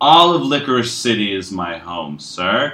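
In a put-on character voice, a man speaks fairly slowly at a fairly low pitch, his tone bright and sharp with big pitch swings.

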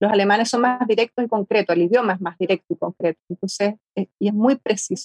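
Very fast and with hardly any pauses, a woman speaks at a medium pitch with ordinary variation. Her voice is somewhat breathy, the sound dry and close with no echo. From Argentina, rural Mendoza. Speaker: artist. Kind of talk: interview.

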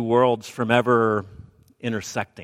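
A man with an American accent at a medium pitch and fairly slow pace, in a very clean recording with a silent background and a dry, close sound with no echo. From Alabama, US South. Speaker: preacher giving a sermon. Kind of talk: sermon. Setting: church with congregation.

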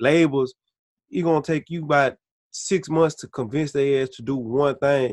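A man speaks in a plain, everyday voice at a fairly high pitch with fairly even intonation and a moderate pace. The sound is dry and close with no echo, and his loudness swings a lot. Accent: American. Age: 20s. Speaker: rapper. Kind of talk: interview. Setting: video call.

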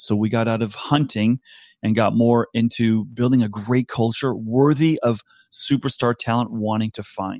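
Heard in a very clean recording with a silent background and a dry, close sound with no echo, a plain, everyday voice with an American accent speaks at a moderate pace with fairly even intonation. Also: man, medium pitch for a man. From US East Coast. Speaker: talent advisor. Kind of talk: interview.

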